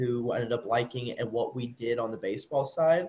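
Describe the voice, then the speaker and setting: A man's somewhat breathy voice. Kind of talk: interview answer. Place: home room. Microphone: video call.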